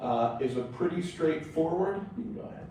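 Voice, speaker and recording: Audible room echo and noticeable background noise accompany a man whose intonation is lively. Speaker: government air quality official. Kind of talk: presentation at public board meeting. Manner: halting, many filler words.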